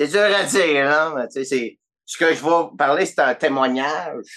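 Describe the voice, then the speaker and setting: With a Quebec accent, a man speaks using ordinary pitch variation. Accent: Québécois French. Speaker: podcast guest. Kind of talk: casual chat.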